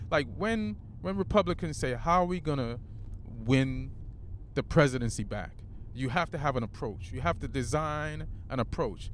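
This man's voice has vocal fry and very wide pitch swings. He keeps a moderate pace, with long, frequent pauses. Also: medium pitch for a man. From Jamaica. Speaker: stand-up comedian. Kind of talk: casual chat.

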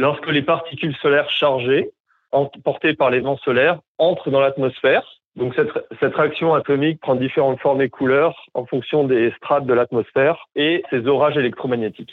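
A man uses an unremarkable speaking voice with very even loudness. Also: fairly high pitch for a man, fairly even intonation, moderate pace. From southern France, Montpellier. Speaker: former northern lights tour guide. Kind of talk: interview, explanatory.

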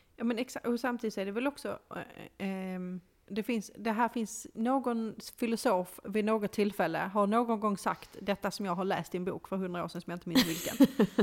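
A woman with an unremarkable speaking voice talks at a moderate pace and a fairly high pitch. Her pitch varies in an ordinary way, and the recording is very clean with a silent background. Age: 30s. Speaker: podcast co-host. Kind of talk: casual chat.

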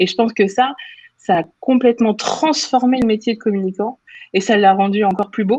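Her fairly high pitch carries a dark, mellow tone, with ordinary pitch variation, very even loudness and a moderate pace. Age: 30s. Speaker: communications manager. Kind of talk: interview conversation. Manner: hesitant, frequent filler.

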